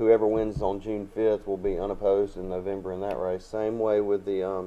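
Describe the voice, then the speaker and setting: This voice has a dark, mellow tone, an Alabama accent and monotone, flat intonation, moving at a fairly quick pace. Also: man, fairly low pitch for a man. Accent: Southern US (Alabama). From Alabama, Troy. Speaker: local political candidate. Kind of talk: casual interview.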